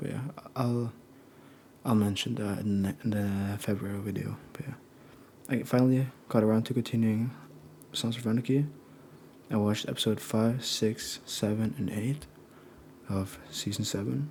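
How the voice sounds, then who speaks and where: A soft-spoken man with a relaxed, dark, mellow tone speaks at medium pitch with ordinary pitch variation. His pace is moderate, with long, frequent pauses. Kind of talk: casual talk to camera, monthly media recap. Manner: soft-spoken, relaxed.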